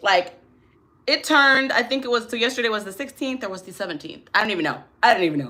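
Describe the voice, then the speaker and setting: A woman with a fairly high pitch, a bright, sharp tone and vocal fry speaks very fast with lively intonation and big swings in loudness. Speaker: tarot and astrology reader. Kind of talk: live stream chat. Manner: soft-spoken.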